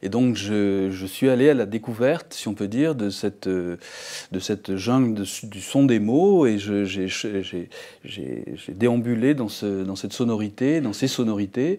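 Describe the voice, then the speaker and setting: A dark, mellow voice at a fairly slow pace with ordinary pitch variation, in a very clean recording with a silent background. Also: man, fairly low pitch for a man. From southern France. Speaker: visual artist. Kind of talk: interview conversation. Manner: halting, many repetitions.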